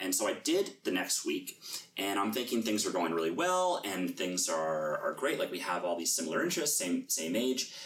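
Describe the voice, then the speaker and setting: A man talks at a moderate pace with a Canadian accent. Noticeable background noise is present. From Canada, Toronto. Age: 30s. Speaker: banker, dating podcast guest. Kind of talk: casual chat. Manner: halting, many fillers.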